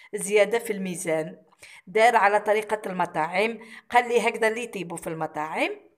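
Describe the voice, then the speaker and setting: A woman with ordinary pitch variation, noticeable background noise. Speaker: cooking vlogger. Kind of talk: vlog narration.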